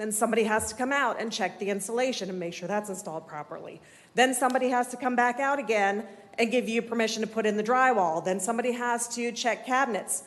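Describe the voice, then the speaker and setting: Shaky and nervous, the voice rushes at a very fast pace with ordinary pitch variation. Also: woman, fairly high pitch for a woman. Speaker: resident speaking at public comment. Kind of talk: public comment at city meeting. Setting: city commission meeting room. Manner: shaky, nervous voice.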